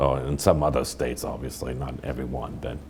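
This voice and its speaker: A man speaks with a German accent. His intonation is fairly even. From Germany. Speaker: winemaker, winery founder. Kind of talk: interview. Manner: halting.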